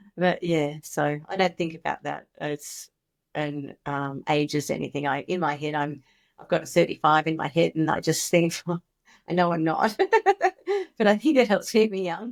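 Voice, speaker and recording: Ordinary pitch variation runs through speech delivered at a moderate speed. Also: woman, very deep, low pitch for a woman. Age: 60s. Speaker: former early childhood educator, founder of a children's mindfulness program. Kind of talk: podcast interview. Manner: animated.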